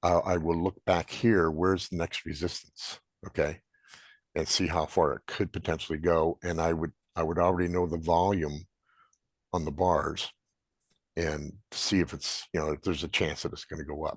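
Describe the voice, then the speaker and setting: This man has a very deep, low voice and an American accent, delivered in a monotone, flat way. The sound is dry and close with no echo, against a quiet background. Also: moderate pace. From Montana. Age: 70s. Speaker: trader presenting to a trading group. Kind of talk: Q&A at a group meeting. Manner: casual, halting.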